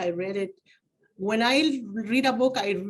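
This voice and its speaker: A woman speaks with a Spanish accent, her fairly high voice moving with ordinary pitch variation. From Mexico, Oaxaca. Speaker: community advocate. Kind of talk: interview. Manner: halting.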